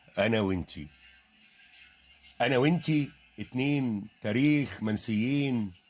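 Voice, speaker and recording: Behind speech with lively intonation, music plays. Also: man. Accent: Egyptian. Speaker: poet. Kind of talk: poetry reading. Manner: emotional, sorrowful.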